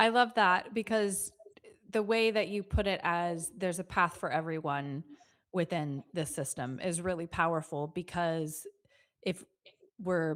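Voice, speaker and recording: A plain, everyday voice with an American accent, ordinary pitch variation and a moderate pace, in a very clean recording with a silent background. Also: woman. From United States. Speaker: podcast host. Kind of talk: interview.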